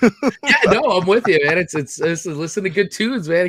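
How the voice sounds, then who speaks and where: Noticeable background noise sits behind the voice. A man talks at a fairly quick pace. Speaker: podcast host. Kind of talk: casual interview hosting. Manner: enthusiastic.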